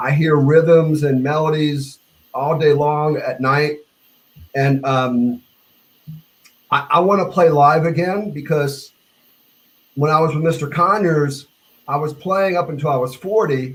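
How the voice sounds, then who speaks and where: With an American accent, a man speaks at a fairly high pitch, somewhat breathy and fairly even in intonation, leaving long, frequent pauses. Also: fairly slow pace. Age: 60s. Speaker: bass player. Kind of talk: casual chat. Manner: halting.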